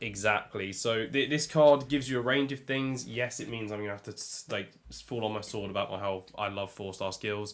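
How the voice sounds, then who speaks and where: Speaking with an English accent, a man delivers his words at a fairly quick pace in a fairly low pitch. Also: very clean recording, silent background. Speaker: podcast co-host. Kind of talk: casual chat.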